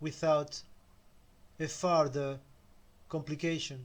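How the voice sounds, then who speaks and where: In a very clean recording with a silent background, a man speaks very slowly in a Spanish accent at a fairly high pitch with fairly even intonation. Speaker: self-help video creator. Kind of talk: motivational talk.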